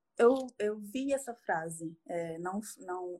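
A woman speaks at a very slow pace in a dark, mellow tone with ordinary pitch variation. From Acre, Brazil. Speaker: caller seeking advice. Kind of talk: casual chat.

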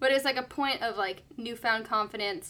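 The woman's voice is fairly high, with a bright, sharp tone. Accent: American. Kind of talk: casual chat.

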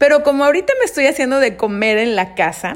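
Lively intonation marks a woman's speech, which moves at a moderate pace. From Mexico, Mérida, Yucatán. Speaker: podcast host. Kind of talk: casual monologue. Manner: conversational, with hesitations.

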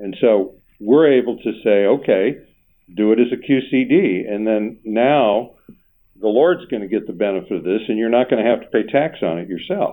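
This man has an unremarkable speaking voice, pitched in the medium range. His pace is moderate, and his pitch varies in an ordinary way. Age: 60s. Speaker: financial planner and radio show host. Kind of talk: casual radio talk show chat.

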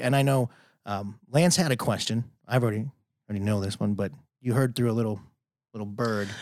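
A man with a Chicago accent talks at a fairly quick pace and medium pitch, with ordinary pitch variation and long, frequent pauses. The recording is very clean, with a silent background. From Chicago, US Midwest. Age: 30s. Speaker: podcast host. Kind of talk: casual podcast interview.

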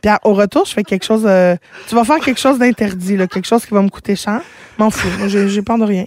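Recorded with a dry, close sound with no echo but noticeable background noise, a woman talks at a fairly quick pace and medium pitch with ordinary pitch variation. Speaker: radio host. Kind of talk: casual chat.

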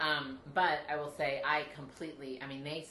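Fairly even intonation with audible room echo. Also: woman. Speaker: podcast guest. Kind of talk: casual chat.

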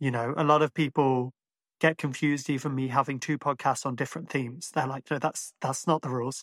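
The sound is dry and close, with no echo. A man with a fairly high pitch speaks in a monotone, flat intonation. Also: fairly quick pace. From Ireland. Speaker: podcast host. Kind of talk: casual chat. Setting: video call.

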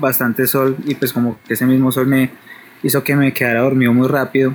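A man's fairly high voice over noticeable background noise. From Bogotá, Colombia. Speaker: caller. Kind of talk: personal paranormal story on phone.

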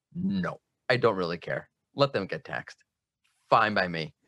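Recorded against a quiet background with a dry, close sound and no echo, the voice has an American accent, vocal fry and very wide pitch swings. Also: man. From United States. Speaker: SEO specialist. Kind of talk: casual chat.

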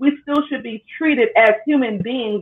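Speaking at a fairly slow pace with lively intonation, a woman has a plain, everyday voice. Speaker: podcast host. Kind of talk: casual podcast discussion.

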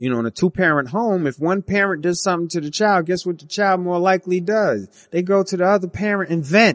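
Talking at a fairly quick pace with hardly any pauses, a man with a high pitch and ordinary pitch variation sounds dry and close, with no echo. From US, West Indian family. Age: 30s. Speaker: podcast host, military veteran. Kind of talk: solo monologue podcast. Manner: casual, with frequent fillers and restarts.

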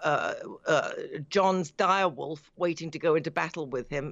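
A woman with a British accent, her pitch very deep and low, at a moderate pace. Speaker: radio industry reporter. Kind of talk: panel discussion. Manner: halting.

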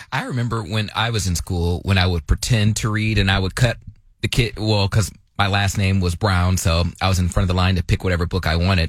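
In a very clean recording with a silent background, a man with a very deep, low pitch speaks somewhat breathily at a fairly quick pace with fairly even intonation. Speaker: radio show co-host. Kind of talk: casual comedic talk radio.

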